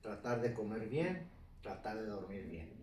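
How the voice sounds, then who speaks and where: Audible room echo surrounds a man who speaks fairly slowly in a somewhat breathy voice with very wide pitch swings. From northern Mexico, Ciudad Juárez. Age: 70s. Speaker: retired mountain biker. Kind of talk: life story interview.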